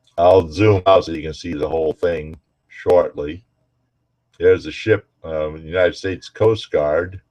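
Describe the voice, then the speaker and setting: A man's very deep, low voice, dark and mellow in tone and somewhat breathy, at a fairly slow pace with fairly even intonation and big swings in loudness, in a dry, close recording with no echo. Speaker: navy veteran showing a shell ashtray. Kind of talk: casual show-and-tell video.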